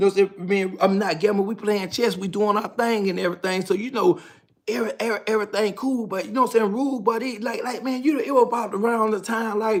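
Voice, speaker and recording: With a Southern US accent, a man races along at a very fast pace in a high voice with fairly even intonation. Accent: Southern US (Georgia). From US South, Georgia. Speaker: storyteller, ex-prisoner. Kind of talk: casual storytelling monologue. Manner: rambling, conversational with many fillers.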